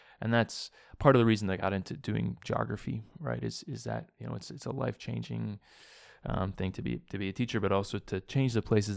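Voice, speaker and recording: His pitch fairly low but swinging very widely, a man talks at a fairly quick pace. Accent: Canadian. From Saskatchewan and Hamilton, Ontario, Canada. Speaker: social enterprise director. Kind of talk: interview. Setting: office in Toronto.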